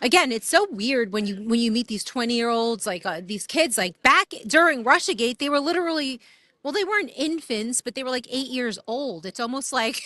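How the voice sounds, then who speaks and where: Her high voice bright and sharp, a woman talks at a moderate pace with very wide pitch swings and hardly any pauses. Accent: New York. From New York. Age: 30s. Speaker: street reporter. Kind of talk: street interview. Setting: outdoors. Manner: casual.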